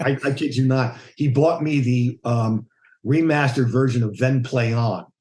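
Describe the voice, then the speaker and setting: Somewhat breathy, a man speaks at a moderate pace and medium pitch. His intonation is fairly even and his loudness very even. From United States. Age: 60s. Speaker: bass player. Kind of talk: casual interview chat.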